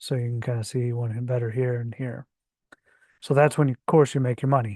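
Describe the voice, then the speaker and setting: A man speaks at medium pitch with a dark, mellow tone and monotone, flat intonation. The sound is dry and close with no echo, over a quiet background. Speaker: crypto trading channel host. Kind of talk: screen-share tutorial. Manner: hesitant, many fillers.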